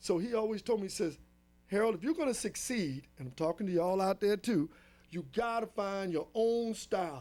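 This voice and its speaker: A man speaks at a fairly quick pace in a high voice with lively intonation, music playing in the background. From Los Angeles, US. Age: 60s. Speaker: drummer. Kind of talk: interview.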